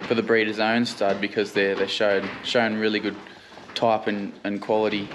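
A man speaks in a fairly low pitch with monotone, flat intonation. There is noticeable background noise. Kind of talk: casual vlog chat. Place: farm machine. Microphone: phone near.

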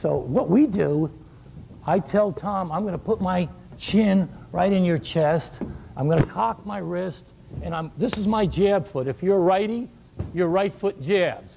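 A man speaks with a high pitch and ordinary pitch variation at a fairly slow pace. His tone is animated, with light background noise. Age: 60s. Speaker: shooting coach giving a clinic. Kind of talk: coaching clinic lecture. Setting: live clinic with audience. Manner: animated, humorous. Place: hall. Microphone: lapel.

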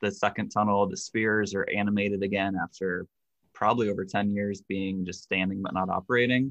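A man speaks at a fairly quick pace. His voice is fairly low in pitch and monotone, with flat intonation. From US Midwest, Cincinnati, Ohio. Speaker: theme park history enthusiast. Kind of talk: casual interview.

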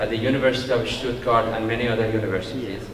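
A man is speaking in audible room echo. Noticeable background noise runs underneath. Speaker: host introducing a guest lecturer. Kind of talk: speaker introduction. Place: hall. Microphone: podium.

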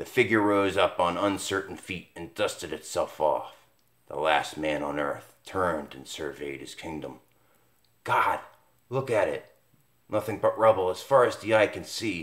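A man delivers his lines in a dramatic, theatrical tone with big swings in loudness. The background is quiet. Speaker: comic book reviewer. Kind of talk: casual video review that switches to dramatic comic-caption reading aloud; comic book horror narration, read aloud. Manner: dramatic, theatrical, ominous narrator delivery, slow and spooky; animated, casual, enthusiastic. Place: home room. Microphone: phone near.

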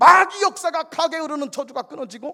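A man speaks in a raised, projected voice with an animated, bright and sharp tone. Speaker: pastor. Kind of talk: sermon. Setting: church. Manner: loud.

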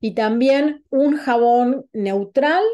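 A woman speaks with an Argentine accent. Her tone is dark and mellow, over a quiet background. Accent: Rioplatense Argentine Spanish. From Argentina, Buenos Aires. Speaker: holistic wellness coach. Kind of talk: online talk presentation. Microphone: video call.

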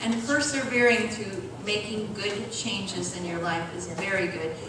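A woman's voice comes through strong room echo and noticeable background noise. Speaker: church health presenter. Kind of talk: health talk and prayer. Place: church.

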